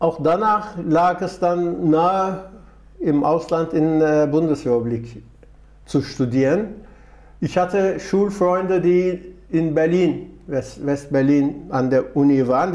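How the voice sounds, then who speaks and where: Speaking with a Turkish accent, a man has a fairly high pitch, ordinary pitch variation and very even loudness. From Turkey, Istanbul. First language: Turkish (speaking German). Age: 70s. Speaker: retired trade union official and migrant advocate. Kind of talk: interview.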